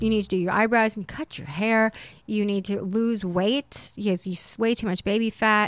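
A woman speaks at a moderate pace in a plain, everyday voice, her pitch fairly high, on a very clean recording with a silent background. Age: 30s. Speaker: actress and model. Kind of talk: casual chat. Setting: studio.

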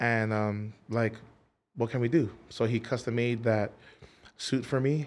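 A man's medium-pitched voice with a Hawaiian accent, fairly slow and fairly even in intonation, very even in loudness, with long, frequent pauses. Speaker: singer. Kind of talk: casual chat. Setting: studio. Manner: hesitant, lots of fillers.

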